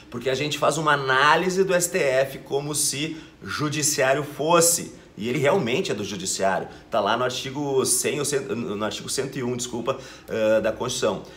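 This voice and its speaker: A man with a fairly high voice and ordinary pitch variation talks at a moderate pace, with audible room echo. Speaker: law teacher and exam-prep youtuber. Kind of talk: educational video lecture. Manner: casual, hesitant with fillers.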